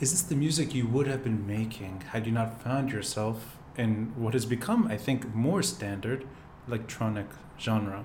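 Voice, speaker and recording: Somewhat breathy delivery at a moderate pace, with ordinary pitch variation. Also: man, medium pitch for a man. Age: 40s. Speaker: podcast host. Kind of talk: casual interview. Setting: video podcast studio.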